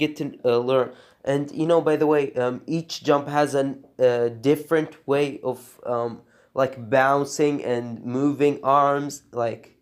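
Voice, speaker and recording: A man's fairly high, monotone, flat voice, fairly slow, with a non-native accent. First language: not English. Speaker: animation tutorial creator. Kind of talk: tutorial. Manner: halting, many fillers.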